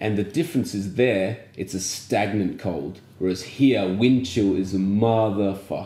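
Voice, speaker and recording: With an Australian accent, a man speaks fairly slowly in a dark, mellow tone and a fairly low pitch, with ordinary pitch variation and hardly any pauses. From Australia, small country town. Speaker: podcast co-host. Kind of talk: casual chat.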